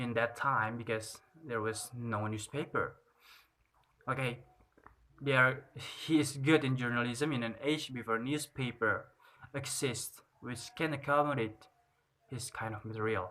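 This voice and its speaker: This man has a non-native accent and a bright, sharp tone at medium pitch. He speaks at a fairly slow pace with fairly even intonation. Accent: non-native English pronunciation. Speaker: student. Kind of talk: class presentation review. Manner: halting, with fillers.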